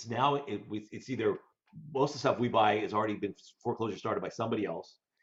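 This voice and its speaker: At a very fast pace broken by long, frequent pauses, a man speaks in a somewhat breathy voice. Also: medium pitch for a man, ordinary pitch variation. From Colorado, US. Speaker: debt collection legal veteran, mortgage investor. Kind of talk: casual interview.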